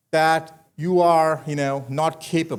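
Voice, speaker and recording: This man speaks with an Indian accent. His pitch is fairly high. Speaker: commencement speaker, manufacturing executive. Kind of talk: commencement speech. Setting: graduation ceremony with audience.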